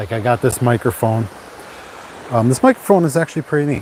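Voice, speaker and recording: Soft-spoken and medium in pitch, a man talks with ordinary pitch variation amid noticeable background noise. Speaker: YouTuber live-streaming. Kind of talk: casual live stream chat. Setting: outdoors at the beach. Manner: halting.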